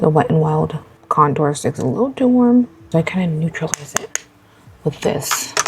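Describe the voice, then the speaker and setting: Quiet and very deep, a woman's low voice moves at a moderate pace with very wide pitch swings over noticeable background noise. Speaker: beauty vlogger. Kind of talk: casual get-ready-with-me chat. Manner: quiet, talking low.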